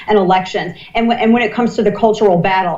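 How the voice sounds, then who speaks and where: A woman at medium pitch and a very fast pace, with ordinary pitch variation and noticeable background noise. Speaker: political commentator. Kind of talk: live election commentary. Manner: animated.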